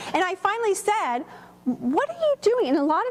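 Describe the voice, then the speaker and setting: A woman's animated tone at a fairly quick pace, with very wide pitch swings and noticeable background noise. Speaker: workshop presenter and teacher. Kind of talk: workshop presentation. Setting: room with live audience. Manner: loud.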